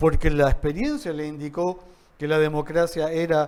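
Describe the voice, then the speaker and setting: A fairly high-pitched man's voice. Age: 60s. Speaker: university dean. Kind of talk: interview conversation. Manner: halting with repetitions.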